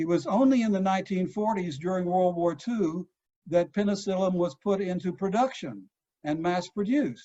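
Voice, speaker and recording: With a Texan accent, a man speaks at a moderate pace in a high pitch with ordinary pitch variation. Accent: Texan American. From Texas. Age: 70s. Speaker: psychoanalyst. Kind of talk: lecture. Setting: video call.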